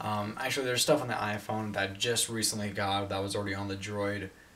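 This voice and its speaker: The man's pitch sits fairly low. He keeps his intonation flat and monotone. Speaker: tech reviewer. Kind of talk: casual review vlog. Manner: fast. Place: home room. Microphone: camera far.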